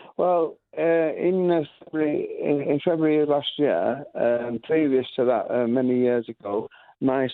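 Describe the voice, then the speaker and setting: The speaker has a Lancashire accent and talks at a fairly slow pace. Pitch varies in an ordinary way. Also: man. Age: 70s. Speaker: music school founder. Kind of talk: radio interview. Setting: radio show. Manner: halting, many fillers and restarts.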